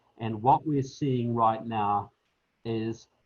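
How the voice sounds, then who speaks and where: Somewhat breathy, a man with a New Zealand accent speaks at a medium pitch with fairly even intonation. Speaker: political author and speaker. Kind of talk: panel discussion.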